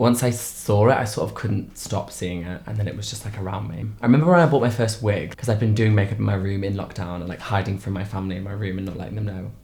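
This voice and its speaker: Speech comes at a very fast pace with hardly any pauses. Audible room echo surrounds it. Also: man, fairly low pitch for a man, ordinary pitch variation. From Lincoln, England. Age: 20s. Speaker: drag performer. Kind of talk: documentary interview.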